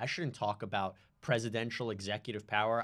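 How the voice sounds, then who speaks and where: A man with a plain, everyday voice speaks at a moderate pace and medium pitch, with ordinary pitch variation. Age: young. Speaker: legal podcast co-host. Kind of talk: casual chat.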